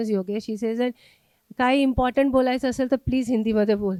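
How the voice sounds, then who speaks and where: Spoken with an Indian accent in a dark, mellow tone, the voice stays monotone and flat on a very clean recording with a silent background. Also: woman. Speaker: sociology professor. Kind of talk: lecture. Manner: code-switching, many fillers.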